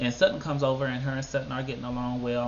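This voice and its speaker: A man's medium-pitched voice at a very fast pace, with audible room echo. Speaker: YouTube TV show reviewer. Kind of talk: casual video commentary. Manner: animated.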